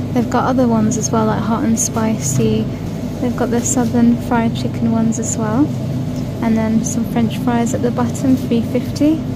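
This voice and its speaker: Loud noise fills the background. A woman keeps a moderate pace as she talks. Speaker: shopping vlogger. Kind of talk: casual vlog chat. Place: shop. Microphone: phone near.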